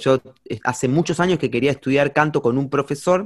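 With ordinary pitch variation, a man's voice sits at a fairly high pitch. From Argentina, Campana (Buenos Aires province). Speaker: singer-songwriter and music teacher. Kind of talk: casual interview chat. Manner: halting, many fillers and repetitions.

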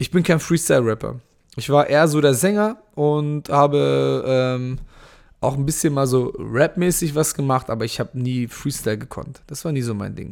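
This is a man with an unremarkable speaking voice. His pitch is fairly high and his pace is moderate. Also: ordinary pitch variation. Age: 30s. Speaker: podcast host and MMA fighter. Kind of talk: live Q&A monologue. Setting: Instagram live stream. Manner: casual, many fillers.

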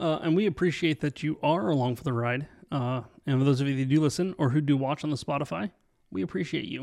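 Very fast speech from a man, pitched fairly high, its pitch moving in an ordinary way. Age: 30s. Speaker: podcast co-host. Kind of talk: casual chat.

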